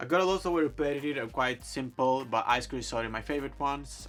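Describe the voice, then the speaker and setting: A man speaks at a very fast pace. Music plays in the background. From Greece, Thessaloniki. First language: Greek. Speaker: fashion blogger. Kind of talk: casual Q&A vlog.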